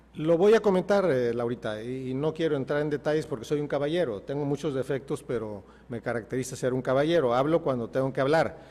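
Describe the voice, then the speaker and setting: Speaking at a very fast pace with hardly any pauses, a man uses a fairly high pitch and ordinary pitch variation. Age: 60s. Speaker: mayoral candidate, politician. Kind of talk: TV interview. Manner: emphatic, passionate.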